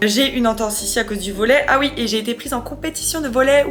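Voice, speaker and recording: Against noticeable background noise, a woman talks at a fairly high pitch that varies in an ordinary way. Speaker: vlogger. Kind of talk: casual vlog talk to camera. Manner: casual, rambling.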